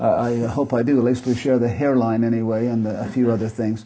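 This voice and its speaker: Over noticeable background noise, a man with an American accent speaks at a fairly quick pace in a medium pitch. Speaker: retiring professor. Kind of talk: lecture.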